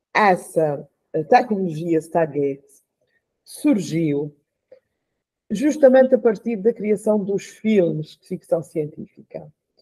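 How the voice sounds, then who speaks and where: A woman speaks at a very slow pace in a dark, mellow tone. Her intonation is lively, and the background is quiet. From São Miguel, Azores; Azores. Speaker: radio show guest or host. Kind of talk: casual panel discussion. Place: home room. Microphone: video call.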